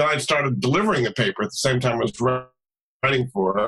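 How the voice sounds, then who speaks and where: A man rattles off his words at a very fast pace, with quiet behind him. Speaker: podcast guest. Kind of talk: interview answer. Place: home room. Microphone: video call.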